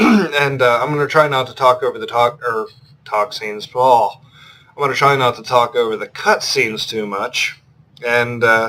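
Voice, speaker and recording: Mumbling at a moderate pace, a man speaks at a medium pitch with a bright, sharp tone. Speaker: gaming YouTuber. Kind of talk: let's play commentary. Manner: monotone. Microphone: laptop built-in mic.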